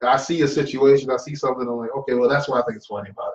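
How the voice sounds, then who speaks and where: A man speaks with a fairly high pitch. His is a plain, everyday voice with ordinary pitch variation. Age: 30s. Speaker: comedian. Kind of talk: casual chat.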